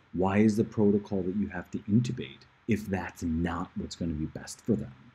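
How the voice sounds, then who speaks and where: A man's soft-spoken, somewhat breathy voice, fairly low and dark and mellow, with ordinary pitch variation against a quiet background. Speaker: livestreamer giving a report. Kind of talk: casual live stream monologue. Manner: soft-spoken, keeping voice down; hesitant, many fillers.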